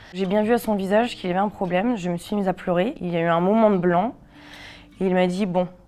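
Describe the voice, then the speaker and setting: The voice moves at a very fast pace with a dark, mellow tone and fairly even intonation. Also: woman. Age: 30s. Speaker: cancer patient sharing her story. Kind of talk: testimony. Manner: halting, many fillers.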